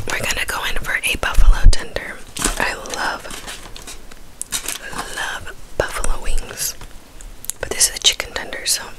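Her whisper moves along at a moderate pace. Long pauses come often. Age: 20s. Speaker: ASMR / mukbang creator. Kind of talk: casual talk to camera. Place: home room. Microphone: studio mic.

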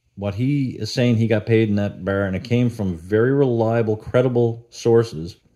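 Over a quiet background, a man speaks with a dark, mellow tone. His pace is moderate and his intonation fairly even. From Newfoundland, Canada. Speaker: YouTuber, cover band guitarist. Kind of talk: casual monologue vlog. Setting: at home with dog. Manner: conversational, many fillers. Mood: critical, mildly exasperated. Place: home room. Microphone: studio mic.

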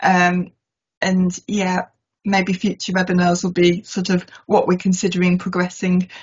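A woman speaks at a fairly slow pace in a medium pitch, somewhat breathy and with monotone, flat intonation. The background is quiet. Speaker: asset management consultant. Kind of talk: webinar presentation. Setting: video call. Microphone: video call.

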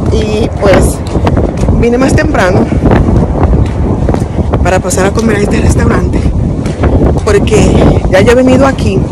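A woman at a fairly slow pace, loud background noise, dry sound with no echo. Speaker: vlogger. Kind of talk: casual vlog chat. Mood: cheerful, relaxed. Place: street. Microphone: phone near.

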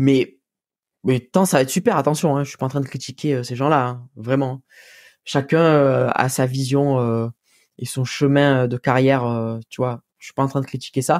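Speaking in a southern French accent, a man uses a fairly high pitch and ordinary pitch variation at a moderate pace, the sound dry and close with no echo. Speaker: musician. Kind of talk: casual chat. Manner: casual, slangy.

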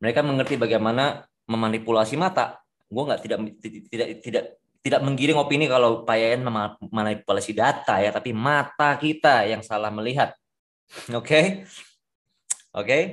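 In an unremarkable speaking voice, a man talks at a fairly quick pace and medium pitch with ordinary pitch variation over a quiet background. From Indonesia. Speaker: forex trader, community leader; trader hosting a group discussion. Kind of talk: online discussion with investors and broker. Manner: casual, lots of fillers. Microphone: video call.

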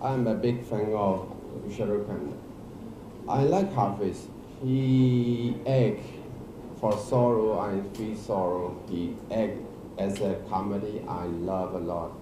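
Speech in a Burmese accent at a very slow pace, with long, frequent pauses, ordinary pitch variation, noticeable background noise and audible room echo. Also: man, fairly low pitch for a man. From Myanmar. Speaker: actor and film director. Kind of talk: press conference; press conference answer. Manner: halting. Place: hall. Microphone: handheld.

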